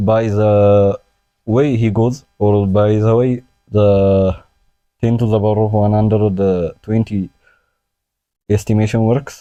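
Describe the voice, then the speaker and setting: Speaking very slowly with long, frequent pauses, a man with a non-native accent holds a very even loudness, his dark, mellow tone set in a monotone, flat intonation. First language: not English. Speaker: chess and science youtuber. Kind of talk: unscripted tutorial. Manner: halting, many fillers.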